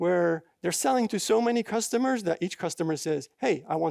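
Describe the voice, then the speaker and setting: With a non-native accent, a man talks at a moderate pace in a high pitch. His intonation is lively, and the recording is very clean with a silent background. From Belgium. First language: not English. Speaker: software developer, conference speaker. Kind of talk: conference talk. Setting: stage with audience. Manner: halting, many fillers.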